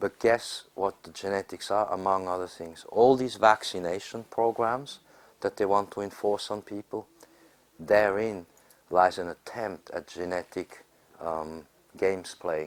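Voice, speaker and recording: The man has an unremarkable speaking voice, fairly low in pitch with ordinary pitch variation. He talks at a fairly slow pace, with big swings in loudness. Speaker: astrologer and conference speaker. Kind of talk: informal panel discussion.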